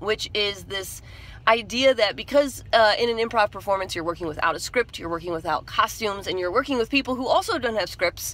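Recorded with a dry sound and no echo, a woman speaks at a fairly quick pace. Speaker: vlogger. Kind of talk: casual vlog chat. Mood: candid, reflective, animated. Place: car. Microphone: phone near.

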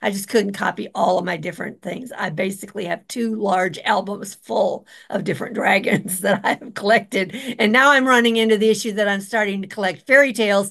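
A woman with a normal speaking voice, medium pitch, ordinary pitch variation and a fairly quick pace. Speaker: topical stamp collector. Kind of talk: show-and-tell presentation. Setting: video call.

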